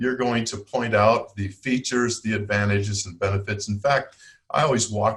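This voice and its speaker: A plain, everyday voice moves at a moderate pace with fairly even intonation. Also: man. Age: 60s. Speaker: product development consultant and teacher. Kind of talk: podcast interview.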